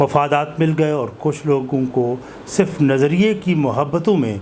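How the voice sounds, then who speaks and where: A man's fairly high pitch amid noticeable background noise. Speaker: interviewer, channel host. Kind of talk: interview introduction.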